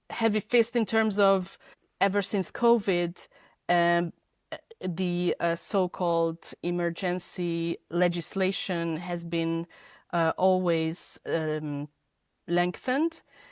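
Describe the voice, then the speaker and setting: Speaking very slowly with a Hungarian accent, a woman uses a fairly low voice and fairly even intonation on a very clean, silent-background recording with a dry, close sound and no echo. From Hungary. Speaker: feminist podcaster and editor. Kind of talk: interview. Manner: halting, many fillers.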